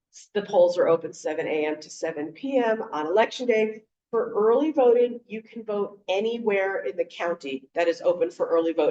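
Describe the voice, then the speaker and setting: A woman's normal speaking voice, fairly high in pitch, with lively intonation at a moderate pace. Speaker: voting rights advocate. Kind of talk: panel presentation. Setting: video call.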